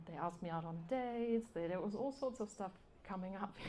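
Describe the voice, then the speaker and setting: A woman's medium-pitched voice with a dark, mellow tone, ordinary pitch variation and a fairly quick pace. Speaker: novelist. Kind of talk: live interview. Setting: live event with audience. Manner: hesitant, with fillers.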